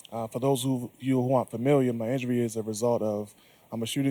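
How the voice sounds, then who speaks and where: A soft-spoken man talks at a very fast pace in a dark, mellow tone with monotone, flat intonation, recorded with a dry, close sound and no echo. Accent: American. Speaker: shooting survivor and fitness speaker. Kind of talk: panel discussion.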